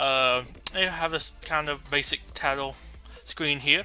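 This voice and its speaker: Over music in the background, a man speaks with fairly even intonation. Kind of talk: news-style commentary to camera about game patch notes. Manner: casual, thinking aloud, with filler words.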